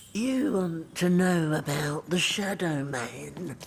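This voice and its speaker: A put-on character voice sits at a middle pitch and moves at a very slow pace. Background noise is clearly audible. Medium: video game. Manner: singsong, ominous.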